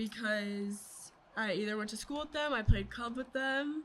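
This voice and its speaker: With a slight Southern accent, a woman speaks at a moderate pace in a fairly high pitch with ordinary pitch variation. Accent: slight southern twang. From Virginia, US (Virginia Beach). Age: 20s. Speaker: mental health advocate, former college athlete. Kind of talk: casual interview.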